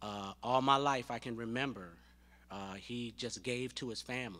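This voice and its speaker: A man's voice at a fairly slow pace. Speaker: son of the deceased. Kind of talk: eulogy. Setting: church. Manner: halting. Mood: warm, earnest, grieving. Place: church. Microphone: podium.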